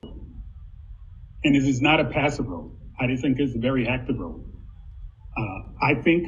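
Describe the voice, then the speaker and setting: There is audible room echo around a man speaking at a fairly slow pace. His voice sits at a medium pitch and carries vocal fry. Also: ordinary pitch variation. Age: 60s. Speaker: university diversity administrator. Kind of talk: panel discussion.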